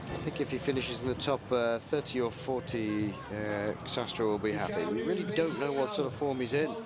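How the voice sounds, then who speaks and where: The voice moves at a fairly quick pace with hardly any pauses and lively intonation. Noticeable background noise is present. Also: man, medium pitch for a man. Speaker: cycling commentator. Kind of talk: live commentary. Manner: subdued.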